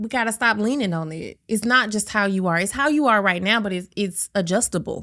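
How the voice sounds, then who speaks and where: A woman speaks loudly in a bright, sharp tone at a medium pitch with ordinary pitch variation, moving at a fairly quick pace with hardly any pauses, on a very clean recording with a silent background. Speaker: podcast co-host. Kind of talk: casual chat.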